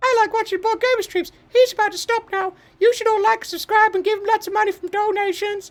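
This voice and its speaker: A put-on character voice, extremely high-pitched and very fast. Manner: hyped, salesy streamer delivery.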